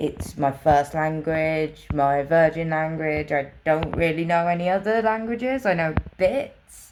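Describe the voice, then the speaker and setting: Over noticeable background noise, a woman with a very deep, low pitch talks at a fairly slow pace with hardly any pauses and ordinary pitch variation. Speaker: vlogger with a brain injury. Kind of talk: personal vlog monologue. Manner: slurred at times.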